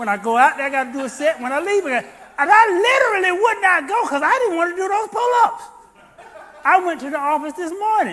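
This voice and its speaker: Over noticeable background noise, a man speaks at a fairly quick pace in a raised, projected voice with an extremely high pitch, very wide pitch swings and an animated tone. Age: 60s. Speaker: pastor. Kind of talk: sermon. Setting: church.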